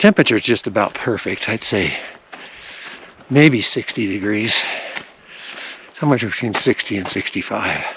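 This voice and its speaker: Moderate pace with long, frequent pauses, ordinary pitch variation and noticeable background noise. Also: man, medium pitch for a man. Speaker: RV travel vlogger. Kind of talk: hiking vlog narration. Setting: outdoors on a hiking trail. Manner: casual, conversational; speaking quietly.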